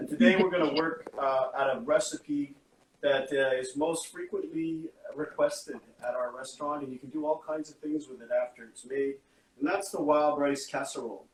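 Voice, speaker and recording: A man with a Canadian accent in an unremarkable speaking voice, fairly high-pitched, at a moderate pace, with ordinary pitch variation and big swings in loudness. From Canada, Anishinaabe (Ojibwe and Algonquin). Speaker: chef and restaurant owner. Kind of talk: casual interview on a cooking livestream.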